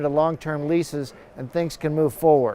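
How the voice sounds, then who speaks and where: In an ordinary speaking voice, the man keeps up a moderate pace. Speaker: university professor and airline industry expert. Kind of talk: TV news expert interview answer.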